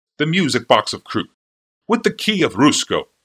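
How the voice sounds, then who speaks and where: In a dry, close recording without echo, a man puts on a character voice at a moderate pace. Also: high pitch for a man. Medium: read story. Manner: obsequious, nervous.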